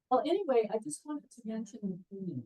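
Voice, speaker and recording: A woman's voice is heard. It sounds somewhat breathy, with a dark, mellow tone. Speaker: retired botanist, guest speaker. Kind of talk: lecture. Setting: talk to an audience, also streamed on Zoom. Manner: projecting teacher voice. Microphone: speaking through a mic and speakers, picked up by a laptop.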